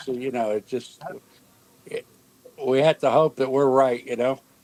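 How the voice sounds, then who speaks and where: The sound is dry and close, with no echo, though background noise is noticeable. Delivery runs at a moderate pace with ordinary pitch variation. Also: man. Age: 70s. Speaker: stream panelist. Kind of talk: casual chat. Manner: halting.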